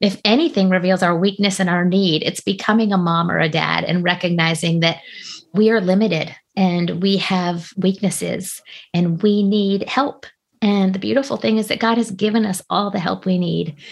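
A woman speaks at a moderate pace in a somewhat breathy voice. The recording is very clean, with a silent background. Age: 40s. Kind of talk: interview conversation.

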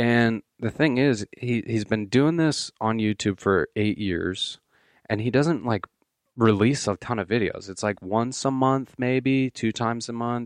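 A man with an unremarkable speaking voice speaks at a medium pitch and a fairly slow pace with ordinary pitch variation, in a dry, close sound with no echo over a quiet background. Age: 20s. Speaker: podcast co-host. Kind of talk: casual chat.

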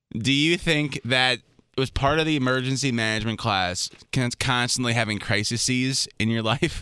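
A man with an American accent speaks with ordinary pitch variation and hardly any pauses. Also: medium pitch for a man, moderate pace. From Minnesota. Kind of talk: casual chat. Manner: mumbling.

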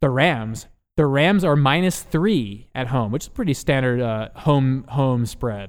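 Lively intonation marks this man's medium-pitched, unremarkable speaking voice. He talks at a fairly slow pace with an American accent. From Philadelphia, US. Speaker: sports podcast host. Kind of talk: casual podcast chat.

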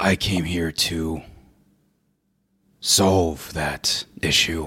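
This is a put-on character voice with a raspy sound. It moves at a very slow pace. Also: man, very deep, low pitch for a man. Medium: actual play. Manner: slow, stilted, formal.

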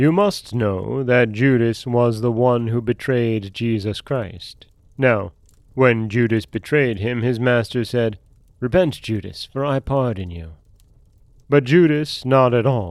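On a very clean recording with a silent background, a man speaks very slowly. His pitch variation is ordinary. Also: medium pitch for a man. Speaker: podcast host and storyteller. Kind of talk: folktale narration, read aloud in a solemn storyteller's tone. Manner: plain, steady, unhurried storytelling pace.

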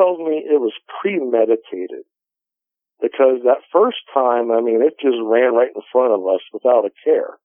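A man with an unremarkable speaking voice talks at a moderate pace, using lively intonation at a medium pitch. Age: 40s. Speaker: outdoorsman and paranormal investigator. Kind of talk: interview testimony.

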